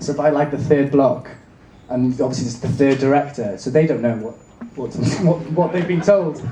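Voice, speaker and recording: Against noticeable background noise and audible room echo, a man with a Welsh accent speaks at a fairly high pitch with ordinary pitch variation. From Wales. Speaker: actor. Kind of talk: convention panel Q&A. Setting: stage with audience.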